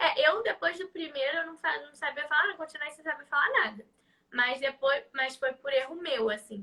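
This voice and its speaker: A woman speaks in a Rio de Janeiro accent at a high pitch. Her intonation is lively and her pace is moderate. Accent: carioca. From Rio de Janeiro, Brazil. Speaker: live stream host. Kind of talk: casual chat. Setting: live stream.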